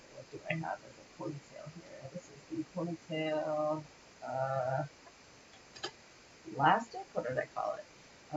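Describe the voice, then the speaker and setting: An American accent comes through at a fairly slow pace with long, frequent pauses. Background noise is noticeable. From Windsor, Ontario, Canada (near Detroit); Ontario. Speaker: animation rigging instructor. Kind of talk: livestream tutorial. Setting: livestream from parents' home. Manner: casual, thinking aloud. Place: home room.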